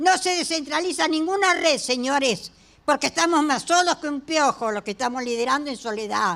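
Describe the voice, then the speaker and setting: At a moderate pace, a woman speaks in a high pitch with lively intonation and an animated tone. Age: 80s+. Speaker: HIV activist and hospital volunteer. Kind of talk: impassioned speech at a public hearing. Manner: animated, emphatic.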